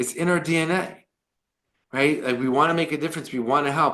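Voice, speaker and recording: This man talks with a New York accent and an animated tone. His pitch varies in an ordinary way. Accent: New York American. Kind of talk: lecture. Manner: fast.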